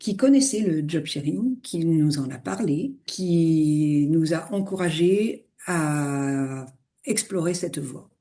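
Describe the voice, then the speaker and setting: A woman's fairly low pitch comes through at a very slow pace. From eastern France. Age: 60s. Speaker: retired finance executive and yoga teacher. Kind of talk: interview. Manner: hesitant, frequent fillers.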